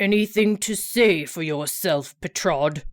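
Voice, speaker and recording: A woman's put-on character voice, growling at a fairly slow pace on a very clean recording with a silent background. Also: medium pitch for a woman, ordinary pitch variation. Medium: read story. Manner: haughty, condescending.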